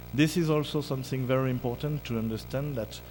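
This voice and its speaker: Music plays in the background as a man speaks with a French accent, with audible room echo. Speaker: keynote speaker, music scholar. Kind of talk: academic lecture. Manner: halting, many fillers.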